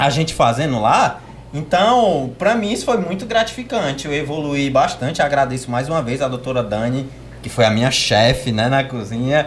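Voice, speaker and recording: The speech moves at a moderate pace with lively intonation, audible room echo and noticeable background noise. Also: man, fairly high pitch for a man. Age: 20s. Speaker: podcast guest. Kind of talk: casual chat.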